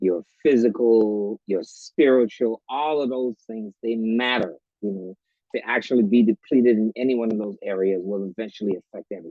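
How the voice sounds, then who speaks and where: This is a normal speaking voice at a moderate pace. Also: man, medium pitch for a man, ordinary pitch variation. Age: 60s. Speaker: author and retired educator. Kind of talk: talk show interview.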